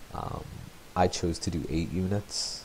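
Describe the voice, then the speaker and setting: Soft-spoken and very deep in pitch, a man talks with fairly even intonation. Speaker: teacher. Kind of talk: tutorial. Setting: home, next room to sleeping baby.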